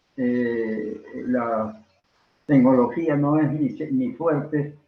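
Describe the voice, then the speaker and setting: The speech moves at a very slow pace with fairly even intonation. Room echo is audible. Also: man, medium pitch for a man. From Peru. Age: 90s. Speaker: veteran stage and film actor. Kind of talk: interview. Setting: video call. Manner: halting.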